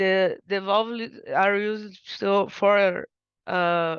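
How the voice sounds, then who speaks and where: In a Portuguese accent, a woman speaks with fairly even intonation, the sound dry and close with no echo over a quiet background. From Brazil. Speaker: undergraduate researcher. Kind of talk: research presentation. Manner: halting, many fillers and restarts.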